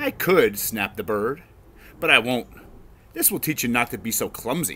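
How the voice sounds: This is a natural reading voice. It is heard on its own.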